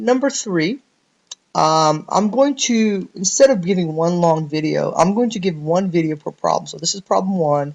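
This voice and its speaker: A man speaks with lively intonation. His pitch is high for a man. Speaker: programming teacher. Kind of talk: tutorial. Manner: fast.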